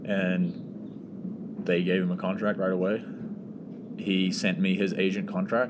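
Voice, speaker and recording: In a New Zealand accent, a man speaks with audible room echo. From New Zealand, Auckland. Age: 20s. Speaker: professional soccer player. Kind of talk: casual chat.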